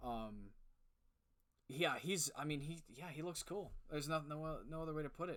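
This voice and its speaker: Long, frequent pauses break up speech delivered at a moderate pace. The pitch varies in an ordinary way. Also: man, fairly high pitch for a man. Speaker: podcast co-host. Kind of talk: casual chat. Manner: loud.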